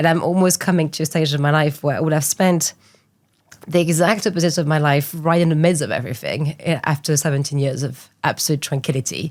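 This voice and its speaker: A woman with a French accent speaks at a very fast pace, her very deep, low pitch held in fairly even intonation. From France, small island off west coast. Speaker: art entrepreneur. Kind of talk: interview.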